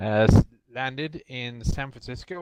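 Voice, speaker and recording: The speaker has a slight Irish accent. The background is quiet. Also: man, dry, close sound with no echo. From Ireland. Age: 40s. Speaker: military historian, game company representative. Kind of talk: podcast interview.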